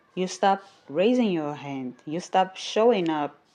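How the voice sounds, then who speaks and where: A woman with a non-native accent speaks at a very slow pace. Her intonation is lively. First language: not English. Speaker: podcast host and YouTuber. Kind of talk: motivational monologue.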